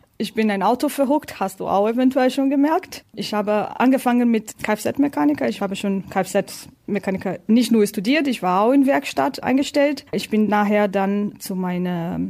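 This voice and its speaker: A woman's dark, mellow tone at a fairly high pitch, with a Portuguese accent, lively intonation, a moderate pace and hardly any pauses. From Brazil. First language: Portuguese (speaking German). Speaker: tire test driver. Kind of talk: interview.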